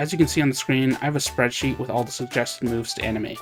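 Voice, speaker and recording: There is music in the background as a man speaks. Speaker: hobby game developer. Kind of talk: devlog narration over gameplay.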